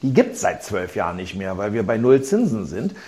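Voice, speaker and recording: The voice has a dark, mellow tone with vocal fry. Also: man. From Berlin, Germany. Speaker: businessman and investor in culture venues. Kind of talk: interview. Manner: halting, many fillers and repetitions.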